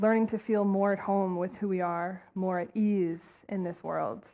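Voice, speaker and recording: On a very clean recording with a silent background, a woman speaks in a dark, mellow tone at a medium pitch with monotone, flat intonation. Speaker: compassion trainer, nonprofit co-founder. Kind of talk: conference talk. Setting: stage with audience. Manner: fast.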